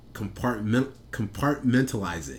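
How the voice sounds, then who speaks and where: The voice carries vocal fry at a moderate pace. Audible room echo surrounds it. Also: man. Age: 20s. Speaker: podcast co-host. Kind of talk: casual chat.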